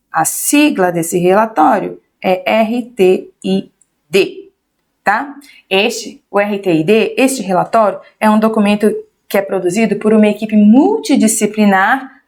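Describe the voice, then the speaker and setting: A woman's fairly high voice with ordinary pitch variation and very even loudness. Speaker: teacher. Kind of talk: lecture. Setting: livestream.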